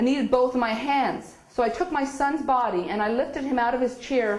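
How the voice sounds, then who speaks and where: A woman with a Newfoundland accent speaks in an animated tone at a high pitch and moderate pace. Audible room echo and noticeable background noise fill the recording. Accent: Newfoundland Canadian English. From Newfoundland, Canada. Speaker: spiritual speaker. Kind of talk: inspirational talk. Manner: animated storytelling.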